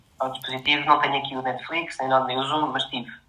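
Speaking with a Portuguese accent, a man uses medium pitch and fairly even intonation. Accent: European Portuguese. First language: Portuguese (speaking Spanish). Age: 30s. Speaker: software developer and assistive tech distributor. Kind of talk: interview.

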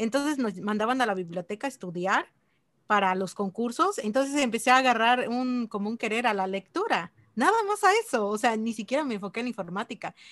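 Her intonation is lively and her pitch fairly high. The woman speaks at a fairly quick pace over a quiet background. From Mexico, Chiapas. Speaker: mobile developer and online course instructor. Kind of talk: casual interview.

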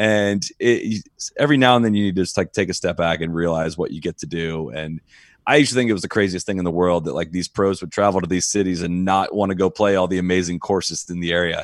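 A man's very deep, low voice with an American accent, very fast with hardly any pauses, ordinary pitch variation, and a dry, close sound with no echo on a very clean recording with a silent background. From Ohio, US Midwest. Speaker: golf podcast host. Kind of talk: casual chat.

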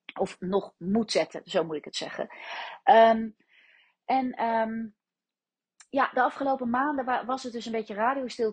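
A fairly high, somewhat breathy woman's voice with lively intonation at a moderate pace, dry and close with no echo, over a quiet background. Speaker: business mentor. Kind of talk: solo podcast monologue.

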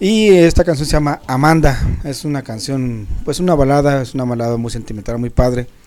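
Talking at a fairly quick pace, a man has a normal speaking voice, a fairly high pitch and ordinary pitch variation. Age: 50s. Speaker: music show panelist. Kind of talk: casual chat.

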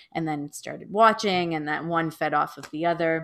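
A woman with a Canadian accent speaks in a normal speaking voice, fairly low in pitch with fairly even intonation, on a very clean recording with a silent background. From Toronto, Canada. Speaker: middle school teacher and podcaster. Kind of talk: casual interview.

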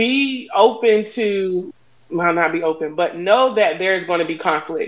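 A woman speaks in an unremarkable speaking voice. Her pitch is medium with ordinary variation. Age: 40s. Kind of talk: casual chat.

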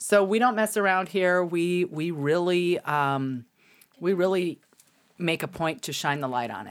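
On a very clean recording with a silent background, a woman with a fairly low voice uses lively intonation and big swings in loudness. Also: fairly slow pace. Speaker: podcast host. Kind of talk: casual chat. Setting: live stream. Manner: animated.

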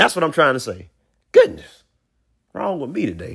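Animated in tone, a man speaks at a fairly high pitch with vocal fry. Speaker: podcast host. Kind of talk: casual monologue.

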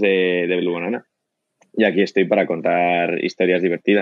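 A man talks at a moderate pace. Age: 20s. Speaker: company co-founder. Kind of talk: casual interview. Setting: remote call from home.

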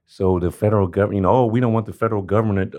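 A man speaks with an American accent at a fairly low pitch. The background is quiet. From South Central Los Angeles. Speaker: homeless rights advocate. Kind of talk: interview. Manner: animated.

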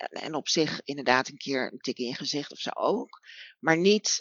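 A woman is speaking. Her pace is fairly slow. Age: 40s. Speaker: BDSM practitioner. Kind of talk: casual chat. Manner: halting.

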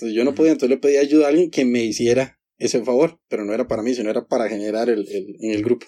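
A man's very fast, dark and mellow delivery with hardly any pauses and ordinary pitch variation. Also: medium pitch for a man. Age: 20s. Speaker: optometrist. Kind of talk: casual interview chat.

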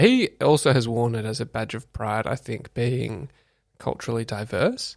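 This man talks at a medium pitch with an Australian accent. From Australia, Canberra. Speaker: public servant. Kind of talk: casual chat. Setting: studio. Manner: hesitant, many fillers.

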